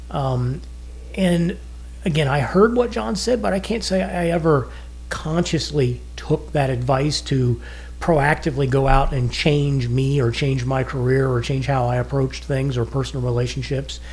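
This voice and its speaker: A man at a moderate pace amid audible room echo. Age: 60s. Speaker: podcast co-host, retired businessman. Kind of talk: casual podcast talk. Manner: conversational, with frequent fillers.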